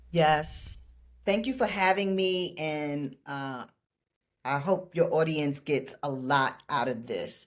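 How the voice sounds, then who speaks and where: In a very clean recording with a silent background, a woman with a New York accent speaks very slowly at a very deep, low pitch, her intonation lively. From New York City (Brooklyn). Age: 60s. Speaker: laughter yoga leader and life coach. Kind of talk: interview conversation.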